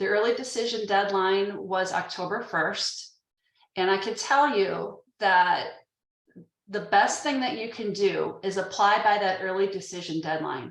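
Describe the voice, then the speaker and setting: A woman's medium-pitched voice with ordinary pitch variation at a fairly slow pace, with audible room echo. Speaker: admissions staff presenter. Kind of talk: informational webinar presentation.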